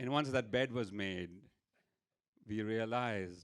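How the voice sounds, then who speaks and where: A man with an Indian accent talks at a very slow pace, his medium pitch showing ordinary variation. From India, Mumbai. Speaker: storyteller. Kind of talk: stand-up storytelling. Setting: stage with audience.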